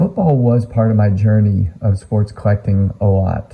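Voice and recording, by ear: Fairly slow and fairly even in intonation, a man speaks with an American accent, his voice raspy with vocal fry and fairly low in pitch.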